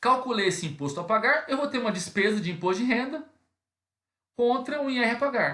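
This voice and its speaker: Pitched extremely high, a man speaks fairly quickly in a raised, projected voice. His pitch swings very widely. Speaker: accounting teacher. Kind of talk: lecture. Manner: fast; hesitant fillers.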